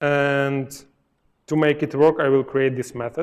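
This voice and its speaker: The speaker is a man. He talks with a Ukrainian accent. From Ukraine. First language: Ukrainian or Russian. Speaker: software testing speaker. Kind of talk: live coding talk at a meetup. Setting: meetup presentation with audience. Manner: halting, with fillers and self-corrections.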